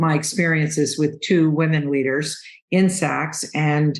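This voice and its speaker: Audible room echo carries a woman's very deep, low voice as she speaks at a fairly slow pace. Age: 70s. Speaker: business consultant. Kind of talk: podcast interview.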